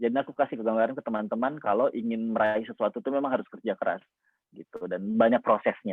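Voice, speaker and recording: The man has a medium pitch. He talks very fast. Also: ordinary pitch variation. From Indonesia, Makassar (South Sulawesi). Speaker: motivational speaker, scholarship awardee. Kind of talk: inspirational talk sharing personal story. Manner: casual, many fillers.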